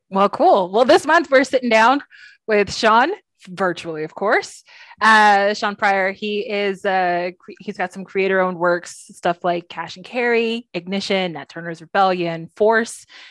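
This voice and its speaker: A woman with an American accent and a normal speaking voice, at a medium pitch and a fairly slow pace, with ordinary pitch variation and big swings in loudness, in a dry, close sound with no echo and a quiet background. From Texas. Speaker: podcast co-host. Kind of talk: casual chat. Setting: video call.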